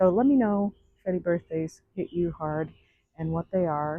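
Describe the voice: A woman speaks at a moderate pace with a fairly low pitch and ordinary pitch variation. The sound is dry and close, with no echo.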